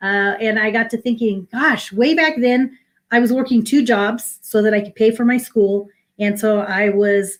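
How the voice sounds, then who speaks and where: In a plain, everyday voice, a woman talks at a moderate pace with a fairly high pitch and fairly even intonation. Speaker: minister and spiritual coach. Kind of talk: inspirational talk.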